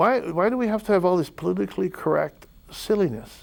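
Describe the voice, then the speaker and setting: A man speaks at a high pitch. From Idaho. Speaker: talk show host, ex-police officer. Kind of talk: solo talk show monologue. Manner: animated, repetitive; loud.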